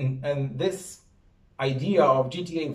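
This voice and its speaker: A man speaks with a Serbian accent and a somewhat breathy sound. The background is quiet, with audible room echo. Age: 30s. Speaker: university professor. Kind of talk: lecture. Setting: stage with audience. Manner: halting. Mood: relaxed, friendly. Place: office.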